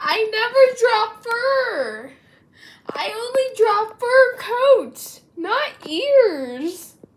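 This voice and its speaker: Extremely high in pitch, this woman's voice has lively intonation and moves at a very slow pace. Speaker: amateur artist, video creator. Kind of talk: casual commentary on own drawings. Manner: animated.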